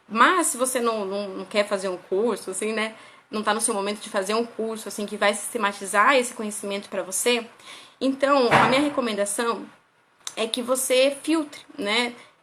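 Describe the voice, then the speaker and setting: A woman with a fairly high pitch and ordinary pitch variation speaks at a moderate pace, her loudness swinging widely, amid audible room echo and noticeable background noise. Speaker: parenting educator. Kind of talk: live stream lecture. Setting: live stream on Instagram.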